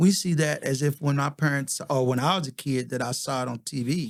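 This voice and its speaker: A man in a plain, everyday voice, fairly high-pitched, at a fairly quick pace with fairly even intonation. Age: 60s. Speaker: podcast host. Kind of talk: casual chat.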